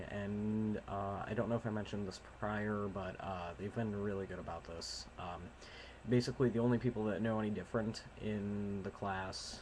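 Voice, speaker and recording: Quiet and fairly low-pitched, a man talks at a moderate pace. His intonation stays fairly even. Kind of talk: casual talk to camera.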